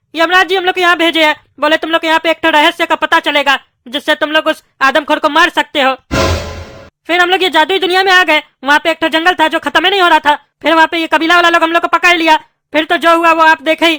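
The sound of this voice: A cartoonish character voice rattles along at a very fast pace.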